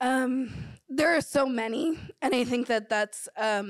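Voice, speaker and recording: Against a quiet background, a woman speaks at a fairly slow pace. Her pitch variation is ordinary. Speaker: panelist. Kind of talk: panel discussion answer. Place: hall. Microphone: handheld.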